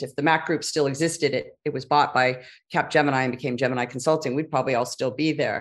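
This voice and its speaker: Against a quiet background, a woman with a very deep, low pitch and an American accent talks at a very fast pace in a monotone, flat intonation. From California, Silicon Valley. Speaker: business strategy consultant. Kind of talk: interview.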